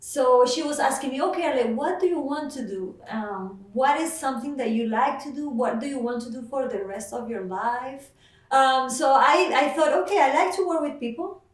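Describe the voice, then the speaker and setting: Audible room echo surrounds a woman who speaks at a moderate pace with a high pitch and lively intonation. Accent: Mexican. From Mexico. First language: Spanish. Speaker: nurse. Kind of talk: interview. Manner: hesitant, many fillers.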